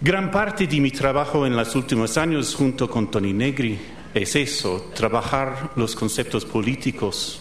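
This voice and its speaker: A man in an American accent, medium-pitched and fairly slow, with lively intonation and very even loudness, amid audible room echo and noticeable background noise. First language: English (speaking Spanish). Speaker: professor. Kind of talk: lecture. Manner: halting.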